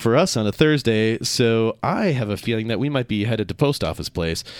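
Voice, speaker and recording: A man with a normal speaking voice and an American accent talks at a medium pitch and fairly quick pace with lively intonation. The recording is dry and close with no echo, very clean with a silent background. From Minnesota. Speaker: radio talk show host. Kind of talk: radio talk show interview.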